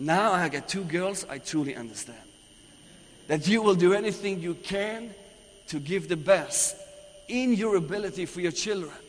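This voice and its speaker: A man with a Persian accent speaks in an animated tone at a high pitch. He leaves long, frequent pauses. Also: ordinary pitch variation, moderate pace. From Iran. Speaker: visiting preacher. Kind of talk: sermon. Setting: church.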